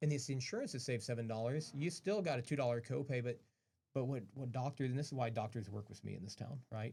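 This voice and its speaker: Somewhat breathy and dark, mellow in tone, a man at medium pitch talks very fast with ordinary pitch variation. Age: 40s. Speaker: pharmacist and pharmacy owner. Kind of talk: radio interview.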